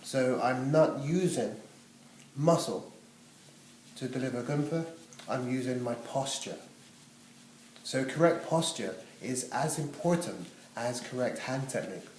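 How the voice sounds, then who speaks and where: A man speaks fairly slowly at a medium pitch, with ordinary pitch variation and long, frequent pauses. Audible room echo and noticeable background noise are present. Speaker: massage therapy teacher. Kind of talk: demonstration tutorial.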